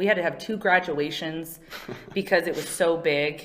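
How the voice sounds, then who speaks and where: A woman speaks in an unremarkable speaking voice with a fairly low pitch. Her pace is moderate, with ordinary pitch variation. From California. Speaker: mortgage marketing and HR manager. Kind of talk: interview. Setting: studio.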